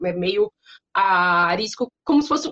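This woman's voice swings very widely in pitch. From interior of São Paulo state, Brazil. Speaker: language teacher and consultant. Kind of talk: interview.

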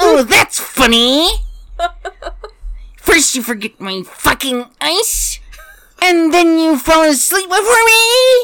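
In a put-on character voice of extremely high pitch, the speaker moves at a very slow pace with very wide pitch swings and long, frequent pauses. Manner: annoyed, sarcastic.

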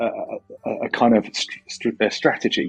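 The speaker is a man with an English accent. He talks at a fairly slow pace. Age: 40s. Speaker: philosophy lecturer and MMA coach. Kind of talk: casual interview. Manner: halting, with repeated words.

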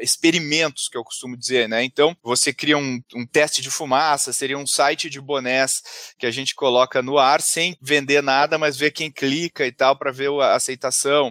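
A man's fairly high, bright, sharp voice at a moderate pace, monotone and flat in intonation, in a dry, close sound with no echo. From southern Brazil, Porto Alegre. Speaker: entrepreneur and business author. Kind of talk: podcast interview. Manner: halting, many fillers and repetitions.

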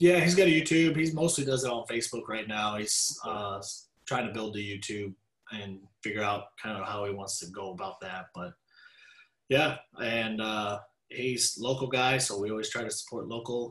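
A man with a Texan accent speaks with lively intonation. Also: medium pitch for a man, moderate pace. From Texas (Dallas). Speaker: rancher. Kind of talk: casual interview.

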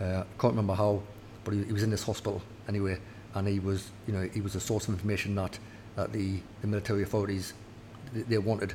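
Speaking very fast yet with long, frequent pauses, a voice with a Geordie accent sounds dark, mellow and somewhat breathy, its intonation monotone and flat. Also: man, fairly low pitch for a man. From northeast England, near Newcastle. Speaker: army officer. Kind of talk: interview. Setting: officers' mess.

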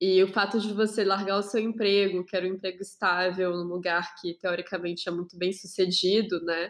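A woman speaks at a moderate pace with a medium pitch. Her intonation stays monotone and flat. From Brazil. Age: 20s. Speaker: podcast host. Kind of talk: casual chat.

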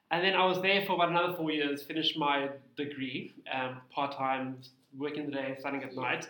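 There is audible room echo as a man with a fairly high pitch talks at a fairly quick pace with fairly even intonation. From South Africa, Cape Town. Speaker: tax practitioner, small business owner. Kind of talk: interview.

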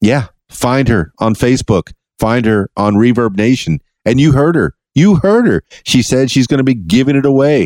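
With an American accent, a man at medium pitch speaks at a moderate pace with lively intonation and very even loudness, the sound dry and close with no echo. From Florida Keys. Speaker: podcast host and DJ. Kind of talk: casual interview. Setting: studio. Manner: animated.

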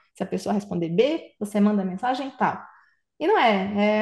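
A woman's lively intonation and moderate pace come across against a quiet background. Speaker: tech company CEO. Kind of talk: casual interview.

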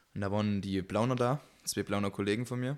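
A man moves at a fairly quick pace in a very clean recording with a silent background. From Saxony, Germany. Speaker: podcast co-host. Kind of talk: casual chat. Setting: home gaming room.

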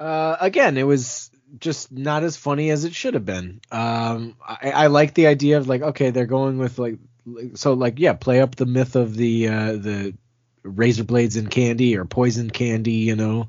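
At a moderate pace, a man with an unremarkable speaking voice talks in a medium pitch with ordinary pitch variation. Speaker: podcast host. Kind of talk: casual banter between co-hosts.

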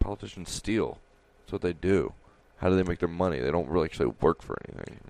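The speech comes at a very fast pace with vocal fry. Pitch varies in an ordinary way. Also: man. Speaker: podcast co-host. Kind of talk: casual banter. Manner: joking, playful.

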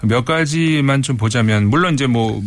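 A man with a plain, everyday voice, medium pitch, lively intonation and a moderate pace. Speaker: foreign affairs commentator. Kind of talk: radio interview commentary.

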